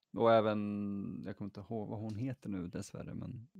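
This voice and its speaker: Against a quiet background, a man with a fairly low pitch speaks at a moderate pace, the sound dry and close with no echo. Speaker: podcast host. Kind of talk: casual chat. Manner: mock radio announcer voice.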